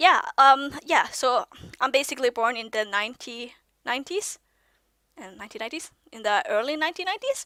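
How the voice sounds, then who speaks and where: A high-pitched woman's raised, projected voice, bright and sharp in tone, with big swings in loudness, long and frequent pauses, a moderate pace, and a dry, close sound with no echo. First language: Norwegian. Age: 20s. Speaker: vlogger. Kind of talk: casual monologue vlog. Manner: halting, many fillers and restarts; youthful-sounding.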